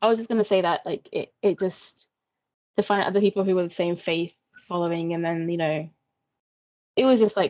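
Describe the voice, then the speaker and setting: A woman with a British accent speaks at a fairly quick pace. Her pitch is fairly low, and her intonation stays fairly even. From UK. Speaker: peer facilitator. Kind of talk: interview answer.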